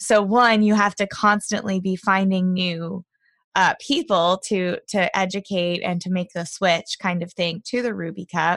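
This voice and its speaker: A woman's medium-pitched voice at a fairly slow pace, with fairly even intonation and a dry, close sound with no echo, in a very clean recording with a silent background. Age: 30s. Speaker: podcast host. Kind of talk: interview.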